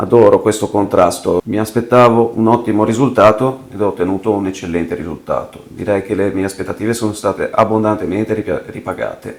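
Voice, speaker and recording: A fairly low-pitched man talks fairly quickly with hardly any pauses and fairly even intonation, with noticeable background noise behind him. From Liguria, province of Genoa, Italy. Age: 30s. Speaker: tattoo client. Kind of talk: testimonial interview.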